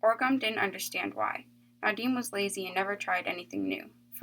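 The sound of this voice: The voice reads without any strain, in an unforced reading voice.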